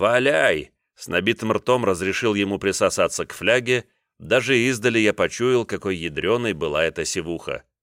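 Quiet surroundings, an unforced reading voice and ordinary pitch variation

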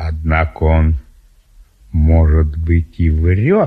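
Speaking very slowly, a man uses a put-on character voice with an extremely low pitch and a slightly husky edge. His pitch variation is ordinary.

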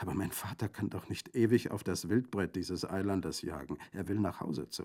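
A natural voice, reading aloud

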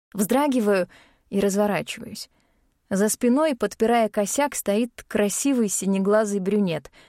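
Over a quiet background, the pitch varies in an ordinary way through plain reading aloud.

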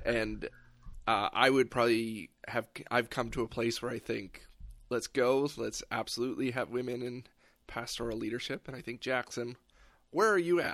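Heard in a very clean recording with a silent background, a man has a plain, everyday voice at a medium pitch with fairly even intonation. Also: moderate pace. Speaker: podcast host. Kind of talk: casual chat.

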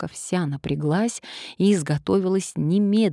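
The reading is aloud. The voice is an unforced reading voice.

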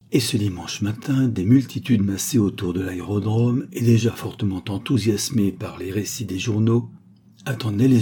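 What we hear is a natural reading voice.

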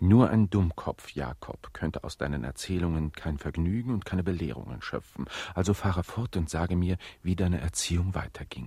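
In a very clean recording with a silent background, a man uses a put-on character voice, low-pitched, dark and mellow with a slightly husky edge, moving at a moderate pace with lively intonation and few pauses.

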